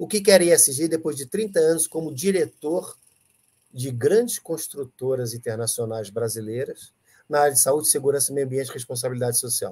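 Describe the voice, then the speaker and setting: A man talks at a moderate pace with a fairly high pitch. His tone is dark and mellow, and somewhat breathy. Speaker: ESG teacher. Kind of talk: live stream chat. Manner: animated.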